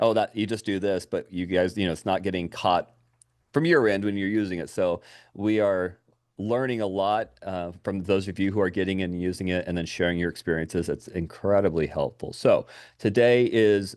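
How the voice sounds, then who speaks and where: Against a quiet background, a man with a fairly low pitch speaks fairly quickly with ordinary pitch variation. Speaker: software trainer. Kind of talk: software training webinar. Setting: video call. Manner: animated.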